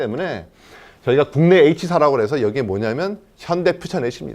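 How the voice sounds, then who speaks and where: This man's voice carries vocal fry. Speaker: company CEO. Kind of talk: investor presentation. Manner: fast.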